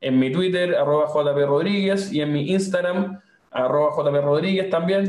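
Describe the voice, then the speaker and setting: With audible room echo, a man with a high-pitched voice talks at a moderate pace and ordinary pitch variation. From Chile, Valparaíso region (Viña del Mar). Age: 30s. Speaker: think tank director and political candidate. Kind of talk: interview conversation. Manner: frequent hesitations and repetitions.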